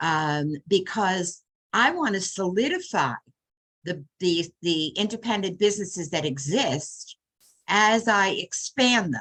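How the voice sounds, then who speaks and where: A woman speaks at a very slow pace and medium pitch. Her intonation is lively. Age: 80s+. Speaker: small business advocate and public speaker. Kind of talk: video call discussion. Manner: halting, with many restarts.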